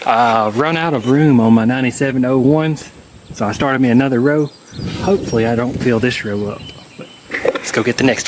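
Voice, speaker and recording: Noticeable background noise sits under a man's voice. He talks at a fairly quick pace in a medium pitch with ordinary pitch variation. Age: middle-aged. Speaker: Jeep collector and YouTuber. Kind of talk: casual walkthrough narration.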